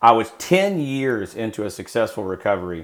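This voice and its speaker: A man with an American accent speaks at a fairly low pitch with lively intonation. The recording is very clean, with a silent background. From Texas. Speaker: former drug smuggler turned recovery coach. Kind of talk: interview. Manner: halting, many fillers and repeats.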